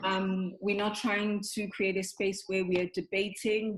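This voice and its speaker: A woman speaks at a moderate pace in a normal speaking voice. Her pitch sits in the medium range. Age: 20s. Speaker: discussion group host. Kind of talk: group discussion.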